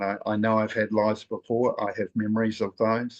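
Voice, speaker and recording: Monotone, flat speech moves at a moderate pace against a quiet background, the sound dry and close with no echo. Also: man. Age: 60s. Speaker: spiritual nature guide. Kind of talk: group sharing circle talk.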